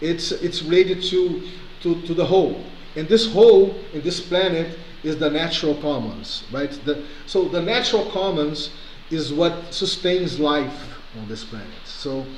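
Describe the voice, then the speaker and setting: Through noticeable background noise and audible room echo, a man with a non-native accent talks at a high pitch with ordinary pitch variation. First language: not English. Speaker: community organizer. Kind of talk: video call discussion. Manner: halting.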